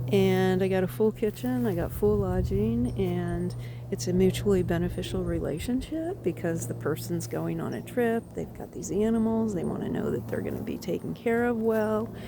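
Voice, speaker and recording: A woman talks at a moderate pace with hardly any pauses, amid noticeable background noise and audible room echo. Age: 60s. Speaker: life coach vlogger. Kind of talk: casual walk-and-talk monologue. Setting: outdoors, walking in woods.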